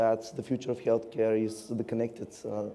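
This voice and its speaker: A man speaks against noticeable background noise. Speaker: tech company co-founder, AI expert. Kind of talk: conference panel.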